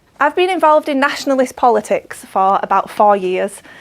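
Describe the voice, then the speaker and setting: A woman speaks with a Yorkshire accent. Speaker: political activist. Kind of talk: speech. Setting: dinner event with audience.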